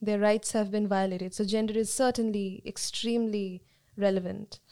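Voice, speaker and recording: At a fairly quick pace, a woman speaks with a fairly high pitch. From India, Calcutta. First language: Bengali. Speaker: sociology student. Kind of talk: panel discussion.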